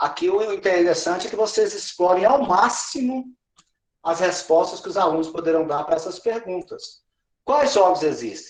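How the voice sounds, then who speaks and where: The pace is moderate. The intonation is lively. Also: man, high pitch for a man. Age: 60s. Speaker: education trainer / pedagogical advisor. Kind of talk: teacher training session.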